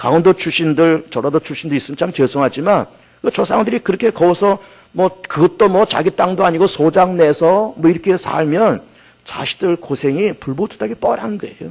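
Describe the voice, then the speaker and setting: High male pitch with ordinary pitch variation at a moderate pace, dry and close with no echo. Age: 50s. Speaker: pastor. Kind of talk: sermon.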